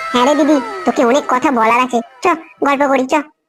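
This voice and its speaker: A cartoonish character voice from a woman, high-pitched and very fast, with fairly even intonation, very even loudness and faint music in the background. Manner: friendly, polite.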